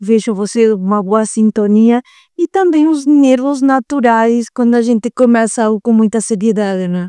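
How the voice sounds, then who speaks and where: In a strong Uruguayan accent, a woman speaks at a moderate pace with a fairly high pitch and ordinary pitch variation. Her tone is dark and mellow, and the sound is dry and close with no echo. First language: Spanish (speaking Portuguese). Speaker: psychologist. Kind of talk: podcast interview. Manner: halting, with fillers.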